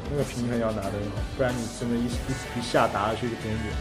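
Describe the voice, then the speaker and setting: A man talks at a very fast pace over clear music in the background. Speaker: singer and actor. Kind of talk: interview answer. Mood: relaxed, lightly amused. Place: home room.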